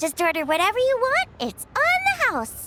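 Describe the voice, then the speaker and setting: A woman's put-on character voice, extremely high and bubbly, energetic, with very wide pitch swings at a fairly slow pace. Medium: video game.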